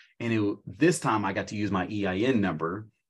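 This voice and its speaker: A man with a normal speaking voice and an American accent talks at a moderate pace, his fairly low pitch showing ordinary variation. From US Midwest, small-town southern Illinois. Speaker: high school business teacher and car rental host. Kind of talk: casual interview chat.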